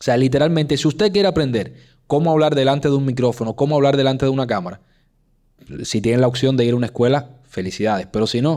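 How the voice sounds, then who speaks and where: A man talks at a very fast pace with a strong Cuban accent. His voice has a medium pitch and a dark, mellow tone. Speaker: podcast host. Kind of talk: casual chat. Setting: studio. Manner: clipped diction, drops sounds.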